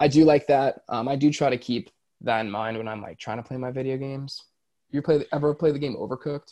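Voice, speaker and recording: Very fast and with big swings in loudness, the voice has a dark, mellow tone and an American accent. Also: man, fairly high pitch for a man. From Florida. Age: 20s. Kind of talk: casual chat. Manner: animated.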